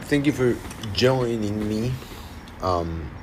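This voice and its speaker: Amid noticeable background noise, a man speaks in a fairly low voice with a Spanish accent. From Argentina. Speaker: singer-songwriter. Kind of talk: livestream casual chat. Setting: livestream. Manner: halting.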